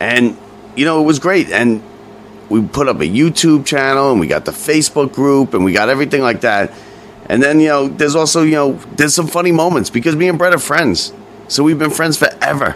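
A man talks in a fairly high voice at very even loudness. Noticeable background noise can be heard. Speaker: podcast host. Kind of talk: casual chat.

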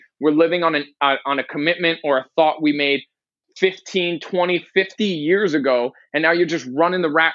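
This man has an unremarkable speaking voice, fairly high in pitch, with ordinary pitch variation at a moderate pace. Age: 20s. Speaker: life coach. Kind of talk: podcast interview.

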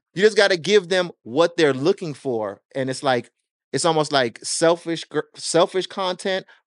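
Fairly high male voice with lively intonation at a moderate pace, dry and close with no echo. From Jamaica, moved to US at six. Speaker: record label owner and music marketing consultant. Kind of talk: casual interview chat. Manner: animated.

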